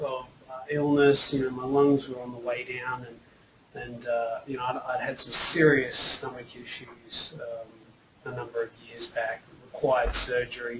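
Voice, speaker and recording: Against noticeable background noise, a man speaks at a fairly slow pace and medium pitch. His intonation is monotone and flat, with big swings in loudness. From Australia. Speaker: actor and filmmaker with cystic fibrosis. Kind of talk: webinar interview. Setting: online webinar. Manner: halting, many repetitions and fillers.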